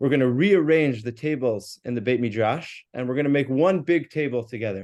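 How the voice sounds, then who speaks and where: An American-accented man at a medium pitch, talking at a fairly quick pace with ordinary pitch variation. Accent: more American than his colleague. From US, New York. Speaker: rabbi and yeshiva teacher. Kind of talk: religious class discussion.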